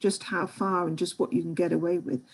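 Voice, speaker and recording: The speaker has a British accent. The tone is dark and mellow. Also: woman. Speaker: history education researcher and lecturer. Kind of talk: online seminar Q&A. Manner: halting, many repetitions.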